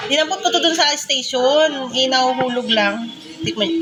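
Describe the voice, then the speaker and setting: Over noticeable background noise, a woman speaks at a high pitch with very even loudness. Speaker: vlogger; mother. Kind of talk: casual vlog, food tasting. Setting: at home.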